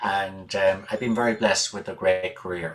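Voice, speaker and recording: A man is talking. He speaks with an Irish accent. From Ireland. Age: 60s. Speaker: musician. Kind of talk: interview. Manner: hesitant, many fillers.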